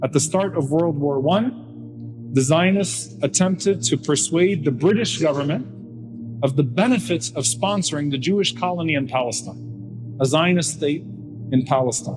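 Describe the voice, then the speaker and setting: Music plays behind a man who talks at a moderate pace. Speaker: Islamic lecturer. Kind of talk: Islamic lecture on political history.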